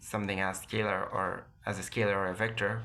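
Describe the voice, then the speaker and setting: Speaking with a non-native accent, a man uses a fairly low pitch and fairly even intonation at a moderate pace. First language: non-native English speaker. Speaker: physics lecturer. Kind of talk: educational lecture. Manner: occasional stutters.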